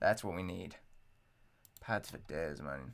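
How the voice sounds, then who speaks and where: Lively intonation and vocal fry mark this man's bright, sharp tone. He speaks fairly slowly with an English accent. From England. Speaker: music producer and rapper streamer. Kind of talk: casual livestream chat while making music.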